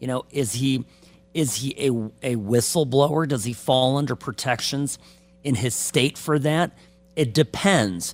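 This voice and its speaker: A man speaks at a fairly slow pace with ordinary pitch variation. He has an unremarkable speaking voice. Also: medium pitch for a man. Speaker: attorney. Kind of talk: legal commentary on sports news.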